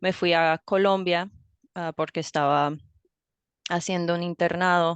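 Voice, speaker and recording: A woman speaks at a fairly slow pace in a fairly low pitch, her flat, monotone delivery broken by long, frequent pauses, recorded dry and close with no echo against a quiet background. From US, raised bilingual (father from Ohio, mother Colombian). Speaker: language teacher. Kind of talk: interview conversation.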